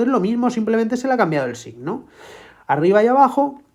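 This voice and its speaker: A woman's dark, mellow voice at a fairly quick pace, with very wide pitch swings against a quiet background. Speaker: math tutor. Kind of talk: tutorial.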